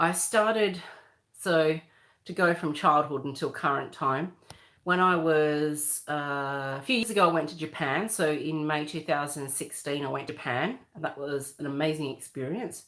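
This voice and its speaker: Someone with an Australian accent talks at a moderate pace with ordinary pitch variation, on a very clean recording with a silent background. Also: woman, very deep, low pitch for a woman. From Western Australia. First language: Croatian. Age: 40s. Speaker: livestreamer. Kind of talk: casual livestream chat. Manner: loud at times.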